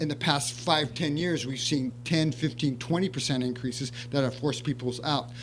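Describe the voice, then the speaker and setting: At medium pitch, a man talks at a moderate pace with fairly even intonation and hardly any pauses. The recording carries audible room echo and noticeable background noise. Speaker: city housing staff member. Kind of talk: staff report at council meeting. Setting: city council meeting. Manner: soft-spoken; halting, many fillers. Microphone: too quiet, mic less sensitive.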